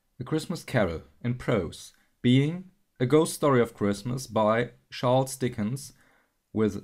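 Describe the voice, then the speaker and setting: Set against a silent background in a very clean recording, the speaker talks at a very slow pace with a non-native accent. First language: not English. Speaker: audiobook narrator. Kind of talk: audiobook reading.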